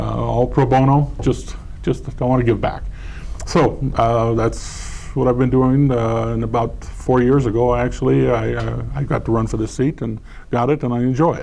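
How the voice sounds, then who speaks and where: A man talks at a moderate pace with an American accent. Noticeable background noise can be heard. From California, San Diego. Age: 60s. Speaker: school board candidate. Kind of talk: candidate forum answer. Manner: halting, many fillers and repeats.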